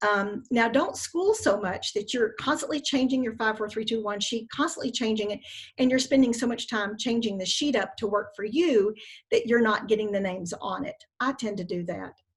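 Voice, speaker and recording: Somewhat breathy, a woman speaks at a fairly high pitch with ordinary pitch variation, in a very clean recording with a silent background. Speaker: network marketing team leader. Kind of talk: team training call. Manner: fast.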